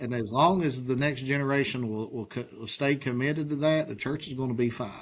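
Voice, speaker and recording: A man's medium-pitched voice with an Appalachian accent, at a fairly quick pace and with fairly even intonation. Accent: Appalachian Kentucky. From Eastern Kentucky. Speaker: pastor. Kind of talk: interview answers.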